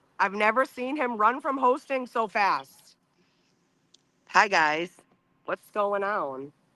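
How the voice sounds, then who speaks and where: A woman speaks very slowly, leaving long, frequent pauses. Her tone is bright and sharp, and her pitch swings very widely. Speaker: livestream co-host. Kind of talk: casual chat.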